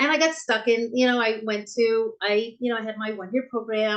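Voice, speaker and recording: This woman talks at a very fast pace in a fairly high voice. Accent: American. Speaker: bookstore owner. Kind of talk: interview conversation. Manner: halting, many fillers and restarts.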